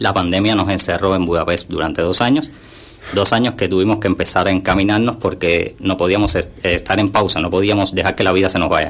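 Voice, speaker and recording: A man with a Cuban accent, very deep, low pitch, fairly quick pace, fairly even intonation and very even loudness, against noticeable background noise. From Cuba, Havana. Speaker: content creator. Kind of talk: radio interview.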